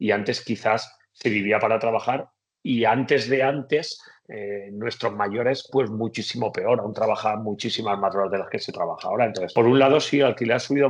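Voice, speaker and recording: A man at a medium pitch talks at a moderate pace with ordinary pitch variation over a quiet background. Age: 40s. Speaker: economist. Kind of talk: interview. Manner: hesitant, with fillers.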